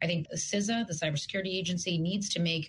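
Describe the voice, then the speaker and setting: Somewhat breathy and fairly low in pitch, a woman speaks at a fairly quick pace. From Russia, Yaroslavl. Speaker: cybersecurity policy expert. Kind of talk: radio interview. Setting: video call.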